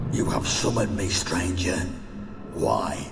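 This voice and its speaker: A man speaks in a put-on character voice at a fairly slow pace over loud background noise. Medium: machinima. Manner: cold, menacing.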